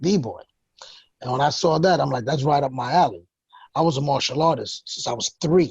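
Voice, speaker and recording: With a New York accent, a man talks at a moderate pace in a fairly high, somewhat breathy voice, using ordinary pitch variation and long, frequent pauses. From New York, the Bronx. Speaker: hip hop producer. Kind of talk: interview.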